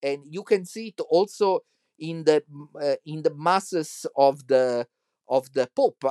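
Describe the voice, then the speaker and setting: A man's fairly slow, dark and mellow voice in an Italian accent, fairly high in pitch, with ordinary pitch variation, big swings in loudness and long, frequent pauses. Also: dry, close sound with no echo. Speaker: church musician and podcaster. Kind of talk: monologue commentary. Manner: halting.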